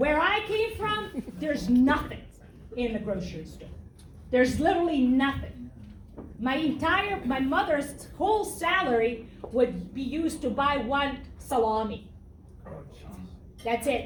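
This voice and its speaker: A woman speaks at a fairly slow pace in a high pitch, with very wide pitch swings and long, frequent pauses. Room echo is audible. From Serbia. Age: 50s. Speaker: political candidate. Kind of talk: campaign speech. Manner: blunt.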